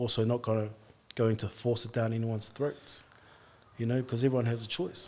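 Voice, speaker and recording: An Australian accent at a moderate pace, with fairly even intonation. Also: man. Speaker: barber and artist, podcast guest. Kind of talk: testimony.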